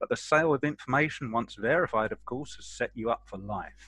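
A man with a bright, sharp tone speaks at a moderate pace with ordinary pitch variation. The sound is dry with no echo, over a quiet background. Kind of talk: narration reading a character background. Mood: playful narration. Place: home room. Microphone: headset.

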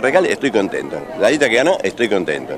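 Noticeable background noise sits under a voice with very wide pitch swings and a dry sound with no echo. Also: man. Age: 70s. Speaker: former mayor, local politician. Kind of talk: street interview. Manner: halting, repetitive. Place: street. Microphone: handheld.

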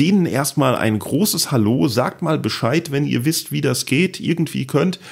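Speaking at a fairly slow pace, a man with a fairly high pitch uses lively intonation and vocal fry while keeping his loudness very even. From Palatinate, Germany. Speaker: podcast host and comedian. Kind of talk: casual chat. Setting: home office.

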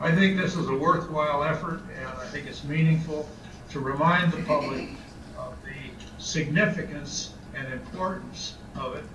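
A man talks at a moderate pace with fairly even intonation, and noticeable background noise is present. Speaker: remote guest. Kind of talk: press conference statement. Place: home room. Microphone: video call.

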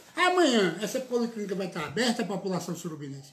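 Light background noise sits behind a man's speech. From Pernambuco, Brazil (Surubim); Pernambuco, Brazil. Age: 50s. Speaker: local politician, city councillor and lawyer; local politician, city councillor, lawyer. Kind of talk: political interview. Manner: animated. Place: office. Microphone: phone near.

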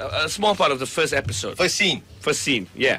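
The man's voice moves through very wide pitch swings. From Malaysia. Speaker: radio host. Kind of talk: radio interview. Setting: radio studio. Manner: animated. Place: studio.

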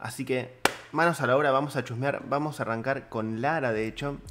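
The pace here is moderate. The speaker is a man. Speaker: 3D animation teacher. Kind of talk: tutorial feedback commentary. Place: home room. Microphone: studio mic.

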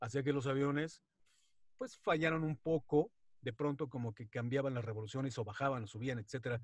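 In a dry sound with no echo and a quiet background, a man talks at a fairly quick pace, somewhat breathy, with a medium pitch and ordinary pitch variation. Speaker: wrestling announcer and radio presenter. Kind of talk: interview answer. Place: home room. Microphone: video call.

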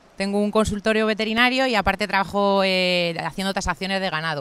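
A woman of medium pitch with ordinary pitch variation, in a very clean recording with a silent background. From Madrid, Spain. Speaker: veterinarian and rural guesthouse owner. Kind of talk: interview. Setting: outdoors, sitting on a rock by a river. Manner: hesitant, many fillers.

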